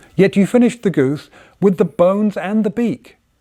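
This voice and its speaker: A man with an English accent speaks in a dark, mellow tone. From England. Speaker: inventor and designer. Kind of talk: poetry reading. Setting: workshop by the fire.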